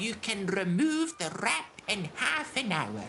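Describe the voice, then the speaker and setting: Someone performs a put-on character voice with very wide pitch swings over clear background noise. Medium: video game. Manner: soothing, sweet.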